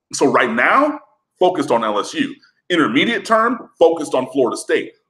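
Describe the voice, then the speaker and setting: A bright, sharp voice with an American accent makes very wide pitch swings. The background is quiet. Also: man. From Michigan. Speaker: college football writer; sports show host. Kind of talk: casual sports talk interview. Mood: argumentative, opinionated. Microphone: webcam.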